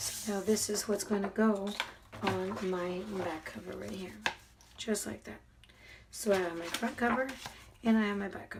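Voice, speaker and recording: A soft-spoken woman at a medium pitch, fairly even intonation, big swings in loudness, long and frequent pauses, noticeable background noise and audible room echo. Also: moderate pace. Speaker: crafter. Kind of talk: tutorial. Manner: subdued.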